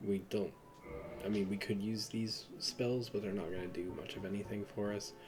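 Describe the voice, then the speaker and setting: A man talks over noticeable background noise. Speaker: gaming video creator. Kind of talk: game walkthrough commentary. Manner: halting.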